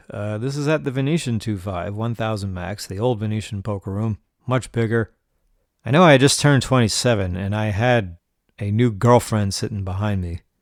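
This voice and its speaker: Fairly low in pitch, a man talks at a fairly quick pace with ordinary pitch variation. The recording is very clean, with a silent background. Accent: New York. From New York, Rockland County. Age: 40s. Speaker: podcast host, poker player. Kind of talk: casual monologue storytelling.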